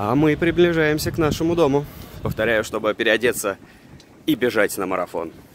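A man speaks at a moderate pace with lively intonation and a fairly high pitch. Long, frequent pauses break up his speech, and the sound is dry with no echo over light background noise. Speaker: travel vlogger. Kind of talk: casual travel vlog narration. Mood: ironic, joking. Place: street. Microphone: phone near.

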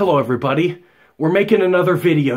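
A man talks against a quiet background. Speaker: fitness vlogger. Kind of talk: casual vlog chat. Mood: sarcastic, joking. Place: home room. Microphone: phone near.

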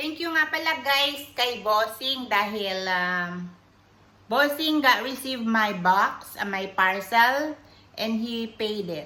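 Slowly and with lively intonation, a woman with a fairly high pitch and a bright, sharp tone speaks amid audible room echo. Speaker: vlogger. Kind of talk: casual unboxing vlog. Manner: chatty, filler-heavy.

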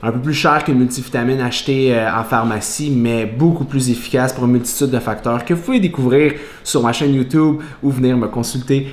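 There is audible room echo as a man talks at a fairly quick pace with fairly even intonation. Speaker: fitness vlogger. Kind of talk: casual vlog chat. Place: kitchen. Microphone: camera far.

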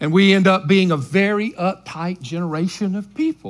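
Speaking at a moderate pace, a man is heard. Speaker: senior pastor. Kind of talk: sermon. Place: church.

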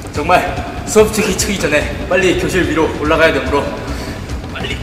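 Clear music plays in the background. Over it, a man speaks at a moderate pace with fairly even intonation. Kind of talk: mock documentary commentary. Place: classroom. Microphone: phone near.

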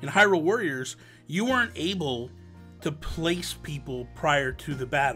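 At a moderate pace, the speaker talks over faint music in the background. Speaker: podcast host. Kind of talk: casual podcast discussion. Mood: exasperated then enthusiastic. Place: home room. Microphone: studio mic.

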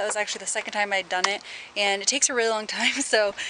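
A woman talks at a very fast pace. The sound is dry with no echo, with loud background noise behind her. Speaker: fitness vlogger. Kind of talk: casual vlog chat. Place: street. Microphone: phone near.

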